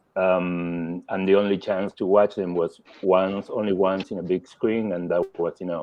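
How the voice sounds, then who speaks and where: A man talks with a Spanish accent. His pace is fairly slow. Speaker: film critic. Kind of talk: panel discussion. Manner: halting.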